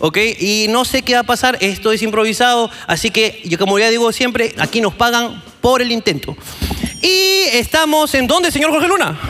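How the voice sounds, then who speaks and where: A man in a raised, projected voice at an extremely high pitch, animated, with very wide pitch swings, a moderate pace, and noticeable background noise. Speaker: comedy podcast host. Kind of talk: live comedy show with audience. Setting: stage with audience.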